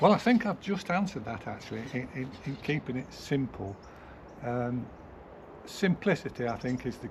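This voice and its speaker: With an English accent, a man speaks at a moderate pace in a medium-pitched, somewhat breathy voice with lively intonation. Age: 70s. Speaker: gardener. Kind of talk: casual interview. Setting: outdoors in a garden.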